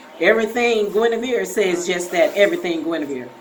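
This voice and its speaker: Over noticeable background noise and audible room echo, a woman talks at a moderate pace in a fairly high pitch that swings very widely. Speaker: vlogger with breast cancer. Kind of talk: casual vlog. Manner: soft-spoken; halting.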